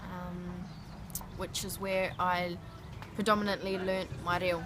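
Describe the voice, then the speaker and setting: Audible room echo surrounds a woman speaking fairly slowly in a New Zealand accent with a monotone, flat intonation. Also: medium pitch for a woman. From Christchurch, New Zealand. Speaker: interviewee. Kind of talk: interview.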